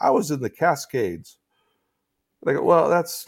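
On a very clean recording with a silent background, a man with a fairly high pitch and vocal fry talks at a moderate pace. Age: 50s. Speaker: theology scholar and podcaster. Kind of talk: casual interview chat. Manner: halting, with many repeated words.

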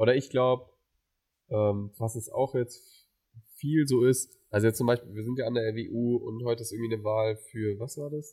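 A man talks at a moderate pace in a medium pitch. His tone is dark and mellow, and somewhat breathy. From Mainz, Germany. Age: 20s. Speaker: student podcast co-host. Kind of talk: casual chat.

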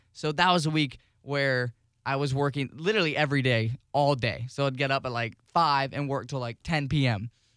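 In a normal speaking voice, a man talks at a fairly quick pace with fairly high pitch and ordinary pitch variation. The recording is very clean, the background silent. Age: 20s. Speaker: radio associate producer and college student. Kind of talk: casual chat.

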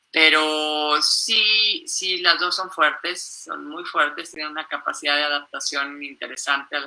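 In a Mexican accent, a woman talks at a fairly slow pace with a very deep, low pitch, a bright, sharp tone and ordinary pitch variation. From Mexico. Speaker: mountaineer. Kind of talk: interview. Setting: live stream.

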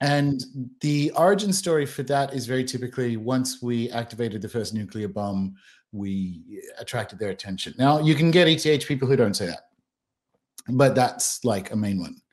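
Here a man speaks with an Australian accent at a moderate pace. His medium-pitched voice has lively intonation. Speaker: author and podcast host. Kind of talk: casual chat.

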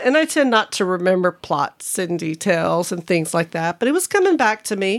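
Lively intonation marks this woman's normal speaking voice, pitched at medium and delivered at a moderate pace. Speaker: podcast guest, host's spouse. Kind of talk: casual chat. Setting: home studio.

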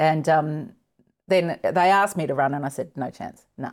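A moderate pace and ordinary pitch variation define the delivery. The background is silent and the recording very clean. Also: woman. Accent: Australian. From Tasmania, Australia. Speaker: politician, former foreign correspondent. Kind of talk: casual interview.

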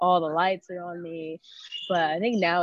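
This woman has an ordinary speaking voice, pitched fairly low, with fairly even intonation. She talks at a moderate pace. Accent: American. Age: 20s. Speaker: Muay Thai fighter. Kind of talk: casual interview.

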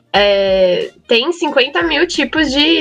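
A high-pitched woman speaks over noticeable background noise. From Brazil, São Paulo. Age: 20s. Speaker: architecture student. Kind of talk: casual chat.

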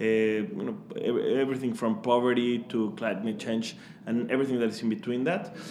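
A man's medium-pitched voice with a Mexican accent, ordinary pitch variation and a moderate pace, over noticeable background noise. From Mexico. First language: Spanish. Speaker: startup founder. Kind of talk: interview, casual chat. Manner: warm, enthusiastic.

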